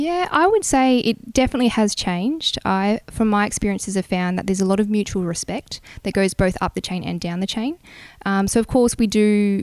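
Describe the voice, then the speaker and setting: A woman with an Australian accent, medium pitch, ordinary pitch variation and a fairly quick pace. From New South Wales, Australia (Bungendore, near Canberra). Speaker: air force officer. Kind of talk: interview. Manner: hesitant with many fillers.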